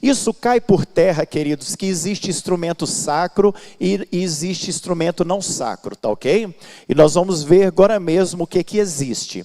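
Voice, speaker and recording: A man's high-pitched, dark and mellow voice at a fairly slow pace, with ordinary pitch variation. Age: 60s. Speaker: pastor and Bible school teacher. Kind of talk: lecture. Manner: halting, with fillers.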